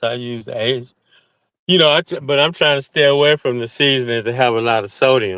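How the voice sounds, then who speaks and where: This man has an American accent and a medium pitch. He talks at a fairly quick pace with ordinary pitch variation. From US South. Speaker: caller. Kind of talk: casual chat; heated debate.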